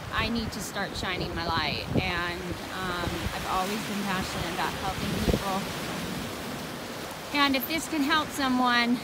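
Fairly slow speech with long, frequent pauses, a dry sound with no echo, and loud background noise. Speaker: vlogger. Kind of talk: reflective personal vlog talk. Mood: calm, reflective, hesitant. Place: beach. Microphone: phone near.

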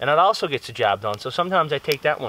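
Recorded dry with no echo, a man's voice sits over light background noise. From Newfoundland, Canada. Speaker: bushcraft YouTuber. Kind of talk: casual vlog talk to camera. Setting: outdoors in the woods. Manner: relaxed, conversational. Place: forest.

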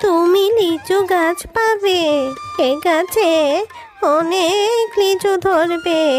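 Clear music plays behind a woman doing a cartoonish character voice at an extremely high pitch and a very slow pace. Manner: gentle, affectionate.

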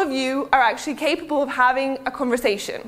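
A woman speaks with a British accent. Her pitch is high. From Serbia, raised partly in the UK from age 12. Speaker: digital marketing speaker. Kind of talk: conference talk. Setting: stage with audience. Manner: casual, filler-heavy. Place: hall.

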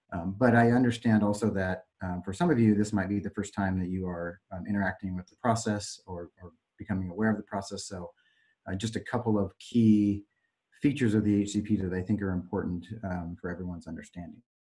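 Against a quiet background, a man with a dark, mellow tone and fairly low pitch keeps his intonation fairly even while his loudness swings widely. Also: fairly quick pace. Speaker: consultant project manager; presenter. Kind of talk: technical presentation. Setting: conference call. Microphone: video call.

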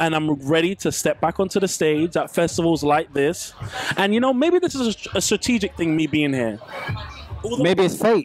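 A man speaks at a moderate pace with lively intonation, and music plays in the background. The sound is dry, with no echo. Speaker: guest. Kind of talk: interview answer. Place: tent. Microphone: handheld.

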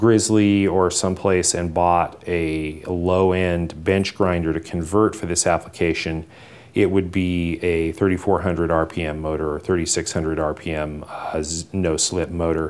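Very slowly and in monotone, flat intonation, a man talks with a very deep, low pitch. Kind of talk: tutorial.

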